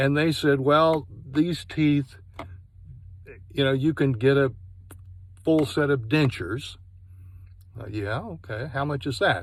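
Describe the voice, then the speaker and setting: Very slow and broken by long, frequent pauses, a man's fairly high voice shows ordinary pitch variation. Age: 60s. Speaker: product reviewer. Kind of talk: personal testimony review.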